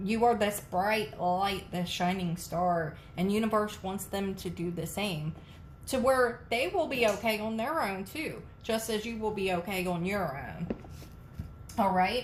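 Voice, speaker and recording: A woman speaks at a fairly slow pace with a medium pitch and ordinary pitch variation. Her voice is somewhat breathy, with audible room echo. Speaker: tarot reader. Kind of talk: tarot reading to camera.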